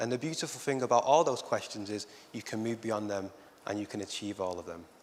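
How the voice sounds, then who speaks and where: A man with a Lancashire accent, fairly quick, with ordinary pitch variation. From northern England, Oldham, Lancashire. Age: 30s. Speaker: arts educator. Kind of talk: conference talk.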